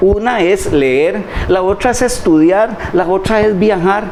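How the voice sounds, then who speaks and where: A man speaks with lively intonation against noticeable background noise. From Costa Rica, Puntarenas province (Quepos). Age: 60s. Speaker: retired public administrator and doctoral scholar. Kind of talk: interview conversation. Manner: halting, frequent repetitions.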